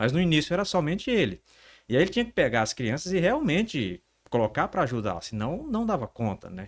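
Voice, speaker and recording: On a very clean recording with a silent background, a man's fairly high voice carries vocal fry and swings very widely in pitch. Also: fairly quick pace. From northern Brazil, Pará (Altamira). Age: 40s. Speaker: entrepreneur. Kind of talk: interview. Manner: halting, repeats words.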